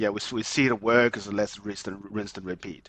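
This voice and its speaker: A man with a fairly low pitch, a non-native accent and fairly even intonation. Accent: noticeable foreign. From migrant to Australia, came as adult. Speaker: mortgage broker and property investor. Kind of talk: podcast interview. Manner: halting, frequent repetitions and fillers.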